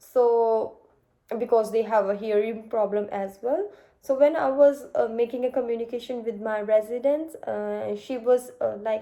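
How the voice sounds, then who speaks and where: This woman's voice has a dark, mellow tone, a fairly high pitch and fairly even intonation, and she speaks at a fairly slow pace. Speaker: nursing student. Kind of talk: mock job interview. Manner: halting, many fillers.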